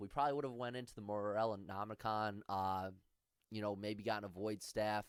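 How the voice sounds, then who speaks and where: The man's intonation is fairly even. His voice sounds dry with no echo over a quiet background. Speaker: gaming video creator. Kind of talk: gameplay tutorial commentary. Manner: fast; casual, conversational. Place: home room. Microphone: headset.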